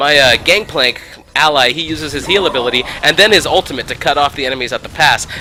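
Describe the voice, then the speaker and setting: Against noticeable background noise, a man with a fairly high pitch speaks very fast with ordinary pitch variation. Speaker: gaming video creator. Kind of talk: gameplay commentary.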